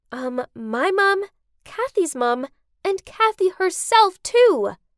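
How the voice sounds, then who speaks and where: A woman's squeaky, put-on character voice at an extremely high pitch, with very wide pitch swings and a very slow pace. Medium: cartoon. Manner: earnest, outspoken.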